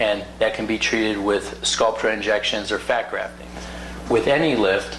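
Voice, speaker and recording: A man with an American accent is heard through noticeable background noise and audible room echo. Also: moderate pace. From US South. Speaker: plastic surgeon. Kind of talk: educational talk.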